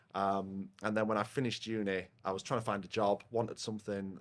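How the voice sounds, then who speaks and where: A man speaks with a Yorkshire accent at a fairly quick pace. His pitch is fairly low. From northern England, South Yorkshire (Rotherham). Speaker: software company partnerships head. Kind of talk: casual podcast interview. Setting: pub, recorded over a beer. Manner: loud.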